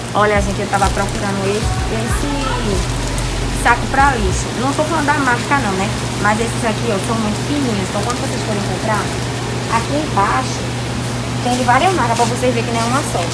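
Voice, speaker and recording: A woman speaks at a fairly quick pace while music plays behind her. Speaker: vlogger. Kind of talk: casual vlog chat. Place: shop. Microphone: phone near.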